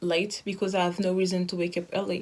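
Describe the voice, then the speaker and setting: A woman in a French accent talks in a flat monotone at a fairly low pitch. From France. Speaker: interviewee sharing lockdown experience. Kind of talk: casual video testimony. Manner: halting.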